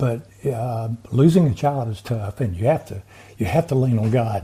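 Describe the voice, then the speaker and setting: A man with a Southern US accent talks at a moderate pace and medium pitch, with lively intonation. His tone is dark and mellow, and somewhat breathy. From US South (Montgomery, Alabama). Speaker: inventor and veteran. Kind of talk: interview.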